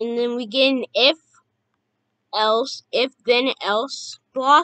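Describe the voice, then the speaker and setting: A woman's raised, projected voice, high-pitched with a bright, sharp tone, at a very slow pace with ordinary pitch variation, dry and close with no echo. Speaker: youtube tutorial maker. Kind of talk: tutorial.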